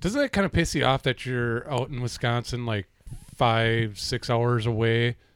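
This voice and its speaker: This man has an unremarkable speaking voice at a medium pitch, recorded with a dry, close sound and no echo. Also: ordinary pitch variation, moderate pace. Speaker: podcast co-host. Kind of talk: casual chat.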